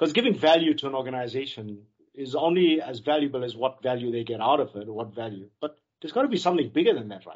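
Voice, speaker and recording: A man talks at a very fast pace with ordinary pitch variation. His loudness swings widely. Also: medium pitch for a man. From South Africa. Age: 50s. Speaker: IT country manager and sales director. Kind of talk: interview. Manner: passionate.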